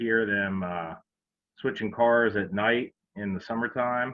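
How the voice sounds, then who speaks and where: A man with a central Pennsylvania accent speaks at a fairly low pitch with fairly even intonation. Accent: central Pennsylvania American. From Pennsylvania, Harrisburg. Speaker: railroad chief mechanical officer. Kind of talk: presentation. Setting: virtual event. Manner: hesitant, many fillers.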